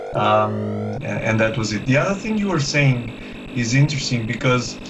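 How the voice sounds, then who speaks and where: A man speaks over music in the background, with audible room echo. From Portugal. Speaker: streamer of retro gaming museum. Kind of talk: casual chat. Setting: live stream. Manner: halting.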